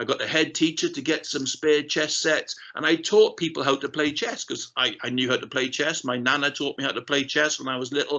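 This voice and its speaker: A man's fairly high-pitched voice at a fairly quick pace, with hardly any pauses. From South Wales, Rhondda Valley. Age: 50s. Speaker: keynote speaker, ex-RAF aircrew. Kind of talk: keynote talk. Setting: online festival session. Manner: conversational, animated.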